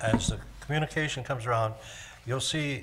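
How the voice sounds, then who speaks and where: Amid audible room echo, a man speaks with fairly even intonation. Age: 80s+. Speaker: resident speaking at public comment. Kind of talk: public comment at council meeting. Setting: council chamber. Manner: hesitant, many fillers.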